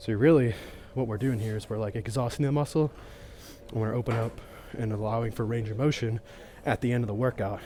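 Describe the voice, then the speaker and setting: The voice has a dark, mellow tone, is somewhat breathy, and keeps fairly even intonation. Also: man. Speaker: fitness vlogger. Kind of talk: casual workout vlog. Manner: casual, filler-heavy; quiet.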